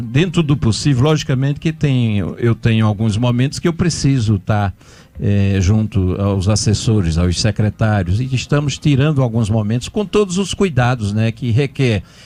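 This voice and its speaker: A man's dark, mellow voice at a medium pitch, lively intonation, a moderate pace, very even loudness and hardly any pauses. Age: 60s. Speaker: mayor and physician. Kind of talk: radio interview. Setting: radio studio.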